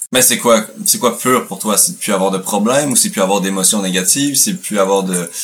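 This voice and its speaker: In a Quebec accent, a man speaks with a fairly low voice. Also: ordinary pitch variation, fairly quick pace. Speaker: podcast host. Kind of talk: casual chat.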